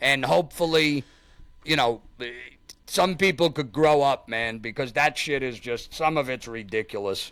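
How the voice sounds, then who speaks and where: In a New York accent, the voice has a bright, sharp tone at a moderate pace. The recording is very clean, with a silent background. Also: man. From Staten Island, New York. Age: 40s. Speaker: YouTube content creator. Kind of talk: casual interview chat.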